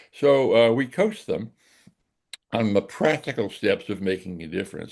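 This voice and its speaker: A man talks with very wide pitch swings. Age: 80s+. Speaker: director of a nonprofit civic heroes project. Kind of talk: interview conversation. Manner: halting, many fillers.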